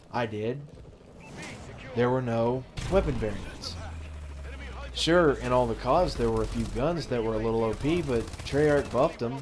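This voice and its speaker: Man at medium pitch and moderate pace, over noticeable background noise. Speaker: gaming YouTuber. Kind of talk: casual opinion commentary over gameplay. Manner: halting, stuttering with many fillers.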